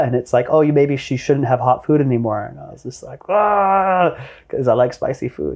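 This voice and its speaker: The voice has a dark, mellow tone and a Canadian accent, with ordinary pitch variation. It moves at a moderate pace over a quiet background. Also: man. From Canada, Vancouver. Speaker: entrepreneur. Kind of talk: interview conversation. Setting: in person at guest's venue.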